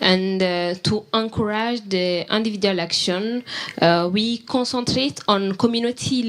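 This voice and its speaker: Noticeable background noise runs through the clip. A woman talks over it with fairly even intonation. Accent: West African. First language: French. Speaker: youth climate network president. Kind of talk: panel discussion.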